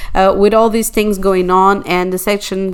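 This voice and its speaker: A woman with a Portuguese accent speaks at a moderate pace in a medium pitch, her intonation monotone and flat. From Portugal. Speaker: astrologer. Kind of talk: monologue video. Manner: halting, many fillers.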